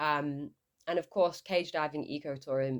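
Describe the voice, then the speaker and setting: A woman talks with a northern English accent at a fairly quick pace. Her pitch is very deep and low. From northern England, Lancashire. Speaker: shark scientist. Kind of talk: podcast interview. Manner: hesitant, with fillers.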